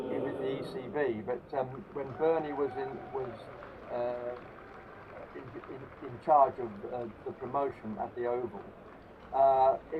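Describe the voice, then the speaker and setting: Intonation stays fairly even, broken by long, frequent pauses. Noticeable background noise runs underneath. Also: man, medium pitch for a man, moderate pace, big swings in loudness. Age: 70s. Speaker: former club cricketer. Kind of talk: interview. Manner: halting.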